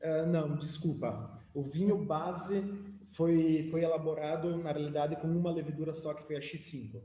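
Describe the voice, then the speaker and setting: Through audible room echo and noticeable background noise, a man with a fairly high pitch speaks at a moderate pace with fairly even intonation. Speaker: winemaker giving a lecture. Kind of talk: lecture.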